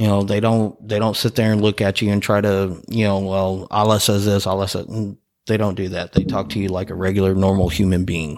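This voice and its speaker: With a Texan accent, a man speaks at a fairly quick pace in a fairly low pitch and monotone, flat intonation on a very clean recording with a silent background. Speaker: podcast host, EMT. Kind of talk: casual chat.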